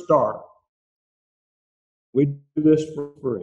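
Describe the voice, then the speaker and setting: Very slowly, a man speaks at a fairly high pitch. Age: 70s. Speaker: church member. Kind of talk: testimony.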